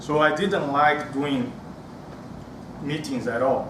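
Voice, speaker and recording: Speaking with a strong Brazilian accent at a fairly slow pace, a man with a fairly high pitch is heard over noticeable background noise and audible room echo. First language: Portuguese. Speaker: public speaking club member. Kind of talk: prepared speech. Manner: halting.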